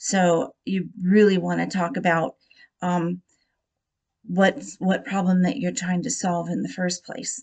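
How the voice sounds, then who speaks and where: A woman talks at a fairly slow pace with a somewhat breathy sound. Her pitch sits in the middle range and varies in an ordinary way. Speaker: student. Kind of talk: class presentation. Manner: hesitant, many filler words.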